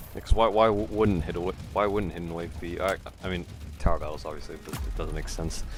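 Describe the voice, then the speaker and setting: Very deep and low in pitch with ordinary variation, a man speaks very fast amid noticeable background noise and audible room echo. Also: big swings in loudness. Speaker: gaming streamer. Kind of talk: live gameplay stream chat. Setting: live stream. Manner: halting, stumbles over words.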